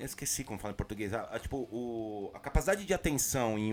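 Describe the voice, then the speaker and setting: A man is speaking. His pace is very fast. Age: 30s. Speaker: podcast co-host. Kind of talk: casual chat.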